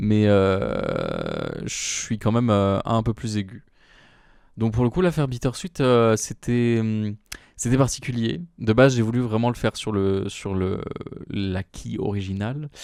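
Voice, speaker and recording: Delivered at a very slow pace with ordinary pitch variation, the voice comes through on a very clean recording against a silent background. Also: man. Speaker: solo podcaster. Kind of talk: casual monologue. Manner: hesitant, many fillers.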